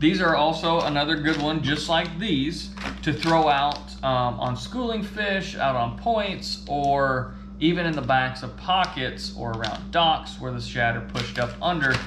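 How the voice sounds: Against clear background noise, a man talks at a fairly slow pace with few pauses, his fairly high pitch showing ordinary variation.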